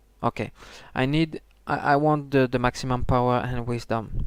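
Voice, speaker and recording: A man talks with a non-native accent. His pace is fairly slow, and his pitch variation is ordinary. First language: not English. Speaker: gaming video creator. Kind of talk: tutorial. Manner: halting, many fillers and restarts.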